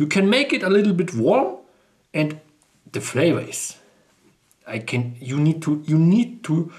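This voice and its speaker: A man with a Bavarian accent speaks at a fairly high pitch with very wide pitch swings. His pace is fairly slow, with long, frequent pauses. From Bavaria, Chiemgau. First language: German (Bavarian). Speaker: food video creator. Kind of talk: casual food presentation. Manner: enthusiastic, repetitive; hesitant non-native phrasing.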